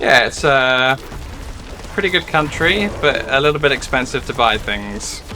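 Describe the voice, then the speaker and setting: Against background music, a man speaks at a fairly slow pace with a fairly high pitch and ordinary pitch variation. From southeast England, near London (Essex). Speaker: gaming streamer. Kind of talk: live gameplay stream chat. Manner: casual, hesitant with fillers.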